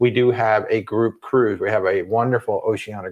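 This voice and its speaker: At a fairly quick pace, a man talks in a fairly low pitch. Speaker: travel vlogger. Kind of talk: livestream chat. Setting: livestream. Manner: quiet.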